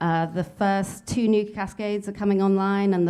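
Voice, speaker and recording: Speaking at a moderate pace in a British accent, a woman with a medium pitch and a dark, mellow tone keeps her intonation fairly even on a very clean recording with a silent background. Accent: UK. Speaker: nuclear fuel industry executive. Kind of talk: conference panel remarks. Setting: conference panel with audience.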